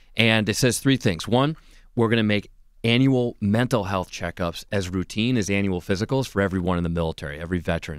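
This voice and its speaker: A man talks at a very fast pace and a fairly low pitch with ordinary pitch variation. The sound is dry with no echo, against a quiet background. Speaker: candidate. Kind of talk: interview answer. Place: studio. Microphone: studio mic.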